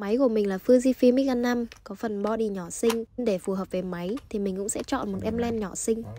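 A woman's fairly high voice at a fairly quick pace, with hardly any pauses and fairly even intonation. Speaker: Vietnamese student in Japan, vlogger. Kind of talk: vlog voice-over narration. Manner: uneven pitch.

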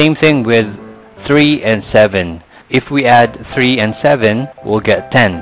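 Over music in the background, a man speaks at a very slow pace with ordinary pitch variation. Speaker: math tutor. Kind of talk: tutorial.

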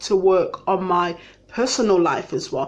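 At a very slow pace, a woman talks at medium pitch. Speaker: lawyer. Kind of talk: casual talk to camera.

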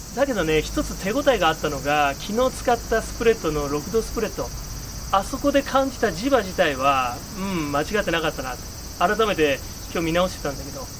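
A man's high voice at a fairly quick pace, with very wide pitch swings and big jumps in loudness over noticeable background noise. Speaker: tarot reader. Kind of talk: casual vlog monologue with tarot reading. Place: garden.

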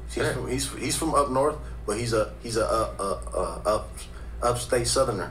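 A man speaks at a moderate pace with an American accent. Light background noise can be heard. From Los Angeles. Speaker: rapper; podcast host. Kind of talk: interview. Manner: halting. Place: studio. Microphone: studio mic.

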